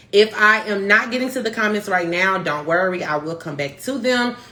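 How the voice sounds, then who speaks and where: An animated woman's voice amid noticeable background noise. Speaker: marketing consultant, live stream host. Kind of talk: instagram live tutorial. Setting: instagram live stream. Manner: fast.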